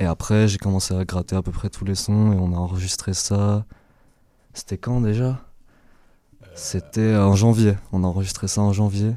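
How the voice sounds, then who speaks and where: Pausing long and often, a man with a fairly low pitch and a dark, mellow tone speaks at a moderate pace in a monotone, flat intonation. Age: 20s. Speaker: rapper. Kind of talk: casual chat. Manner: halting.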